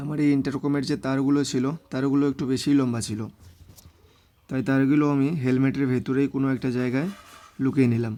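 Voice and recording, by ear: This man speaks fast, at a medium pitch, with little pitch movement. His tone is dark and mellow.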